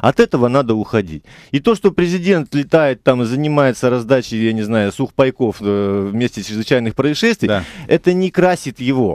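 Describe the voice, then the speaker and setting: Recorded dry with no echo and a quiet background, a man speaks at a moderate pace with lively intonation. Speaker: member of parliament; politician guest. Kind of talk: radio talk show interview. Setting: radio studio. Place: studio.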